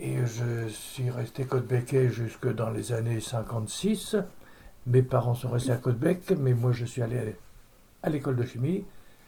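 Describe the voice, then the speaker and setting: Speaking at a fairly slow pace, a man has a somewhat breathy voice with a dark, mellow tone. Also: medium pitch for a man, ordinary pitch variation. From Normandy, France (Caudebec-en-Caux). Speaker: retired chemist, oil industry. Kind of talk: oral history interview. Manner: hesitant, many fillers.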